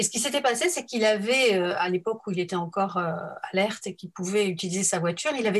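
A woman with a medium-pitched voice talks at a fairly quick clip. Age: 50s. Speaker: helping professional. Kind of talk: interview. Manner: halting.

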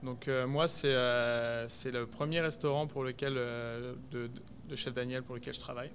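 The delivery is very slow, with monotone, flat intonation. Audible room echo surrounds the voice. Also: man, medium pitch for a man. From Burgundy, France (rural Yonne). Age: 30s. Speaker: executive chef. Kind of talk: interview conversation. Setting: restaurant, in person. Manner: hesitant, many fillers.

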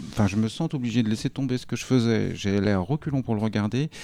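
A man talks very fast at a medium pitch. His intonation is lively. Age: 40s. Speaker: publishing worker. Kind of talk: casual chat.

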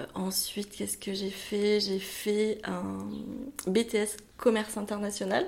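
A woman talks in a flat monotone at a very slow pace and medium pitch, with noticeable background noise behind her. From France, Bordeaux area. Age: 30s. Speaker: wedding planner. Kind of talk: interview. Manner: hesitant, many fillers.

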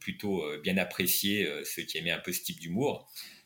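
The man speaks at a fairly slow pace. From France, Nancy. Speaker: writer and tennis club director. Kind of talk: interview conversation. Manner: halting, many hesitations.

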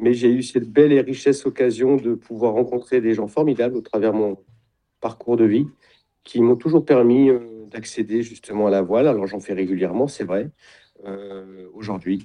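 A man with a medium pitch speaks at a moderate pace, his pitch variation ordinary and his pauses long and frequent. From Champagne-Ardenne, France. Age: 50s. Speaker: sailing wellness retreat founder. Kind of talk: interview. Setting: video call.

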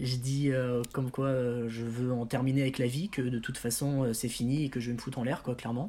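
This man has a dark, mellow tone. The recording is very clean, with a silent background. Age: 20s. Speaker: patient with multiple sclerosis, singer. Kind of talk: interview.

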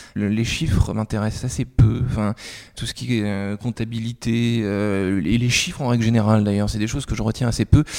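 Man with an unremarkable speaking voice, fairly low pitch, fairly even intonation, moderate pace. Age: 20s. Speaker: journalist. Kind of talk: interview.

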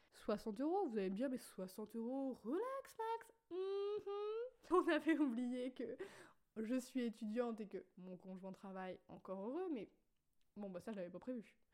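A woman with a high pitch speaks with very wide pitch swings and big swings in loudness. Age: 20s. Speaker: podcaster. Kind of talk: casual monologue. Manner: spontaneous, with fillers.

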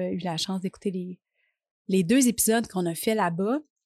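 With a Quebec accent, a woman speaks at a moderate pace in a medium pitch, the sound dry and close with no echo. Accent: Québécois French. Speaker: podcast host and life coach. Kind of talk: solo podcast monologue. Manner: casual, hesitant with fillers.

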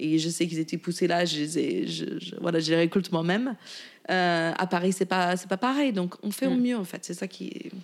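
In an English accent, a woman speaks with a fairly low pitch and ordinary pitch variation. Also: moderate pace. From US, Virginia (rural). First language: English (speaking French). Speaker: chef and caterer. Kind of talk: casual interview.

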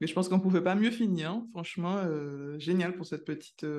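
Over a quiet background, a woman with a dark, mellow tone speaks fairly quickly at a fairly low pitch with ordinary pitch variation. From Caribbean. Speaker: podcast host, scientist. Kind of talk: interview. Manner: enthusiastic.

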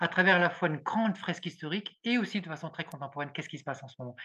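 Over a quiet background, a man speaks with a high pitch, a bright, sharp tone, and ordinary pitch variation. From rural France. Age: 60s. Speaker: former engineer turned philosopher. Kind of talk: podcast interview. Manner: halting, many repetitions.

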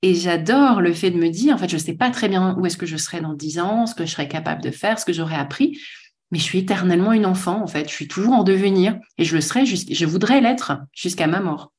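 At a very fast pace, a woman with a medium pitch talks in a somewhat breathy voice with lively intonation. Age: 40s. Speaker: author and speaker on work. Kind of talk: casual interview conversation.

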